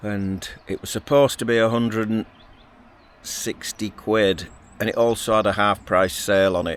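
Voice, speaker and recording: Speaking with a Lancashire accent, a man uses a fairly low pitch. His pace is fairly slow, with ordinary pitch variation. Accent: northern English (Lancashire). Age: 60s. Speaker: outdoor adventure vlogger. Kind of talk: casual vlog monologue. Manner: chatty, rambling with hesitations.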